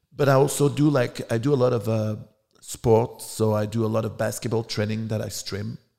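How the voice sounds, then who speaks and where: In a French accent, a man speaks fairly quickly at a medium pitch, his tone dark and mellow and his intonation fairly even. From France. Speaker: adult film director and performer. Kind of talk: interview.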